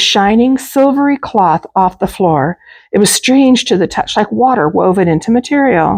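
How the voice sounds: A natural reading voice delivers the words with lively intonation.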